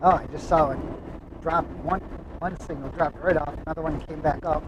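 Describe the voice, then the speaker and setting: Noticeable background noise behind a man's fairly high-pitched voice, fairly quick in pace, with monotone, flat intonation. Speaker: RV traveler vlogger. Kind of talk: casual live-stream chat while driving. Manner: mumbling; halting.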